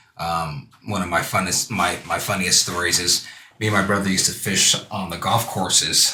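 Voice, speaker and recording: A man with an American accent and a very deep, low pitch talks at a moderate pace in monotone, flat intonation, with audible room echo and noticeable background noise. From California, Santa Monica. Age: 40s. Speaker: youth fishing program founder. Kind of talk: casual interview. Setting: live stream show.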